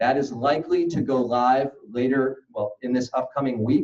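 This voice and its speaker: The voice has a dark, mellow tone and monotone, flat intonation. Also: man. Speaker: state senator. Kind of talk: conference speech. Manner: fast.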